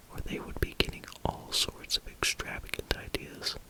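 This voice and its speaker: The voice is whispering at a fairly slow pace. Noticeable background noise runs behind it. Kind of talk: ASMR whispered reading of a novel for sleep. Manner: whispered.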